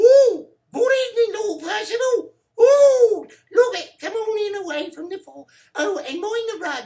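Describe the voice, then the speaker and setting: A put-on character voice squeaks at an extremely high pitch with lively intonation, big swings in loudness and a moderate pace. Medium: read story.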